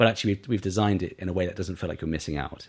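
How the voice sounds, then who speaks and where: A man speaks with a very deep, low pitch and ordinary pitch variation, with a southern English accent. The recording is very clean and the background silent. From Isle of Wight, southern England. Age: 30s. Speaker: beauty brand founder. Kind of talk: interview.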